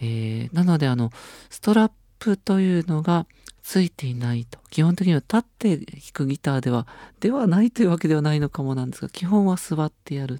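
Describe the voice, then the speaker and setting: On a very clean recording with a silent background, a man speaks at a fairly quick pace with lively intonation. His pitch is fairly high and his tone dark and mellow. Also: big swings in loudness, dry, close sound with no echo. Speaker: radio host. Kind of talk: casual chat.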